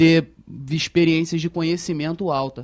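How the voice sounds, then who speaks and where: Moderate-paced speech from a man, dry and close with no echo. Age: 20s. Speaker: young manager in industry. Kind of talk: panel discussion.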